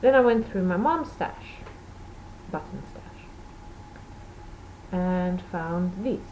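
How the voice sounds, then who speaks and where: Over noticeable background noise and audible room echo, a woman speaks at a medium pitch with ordinary pitch variation, a very slow pace and long, frequent pauses. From Portugal. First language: Portuguese or Dutch. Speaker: knitting podcaster. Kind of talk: casual video podcast chat.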